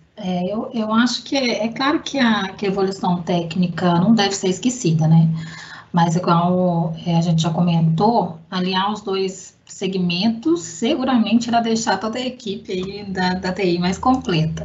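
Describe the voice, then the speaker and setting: Audible room echo surrounds a woman speaking at a fairly slow pace and a medium pitch, with ordinary pitch variation. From Belo Horizonte, Minas Gerais, Brazil. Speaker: IT analyst. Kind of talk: casual chat.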